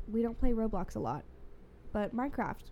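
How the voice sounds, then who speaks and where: Her medium pitch and ordinary pitch variation come with an American accent as this woman speaks. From Louisiana, US South. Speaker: podcast guest. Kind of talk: casual chat.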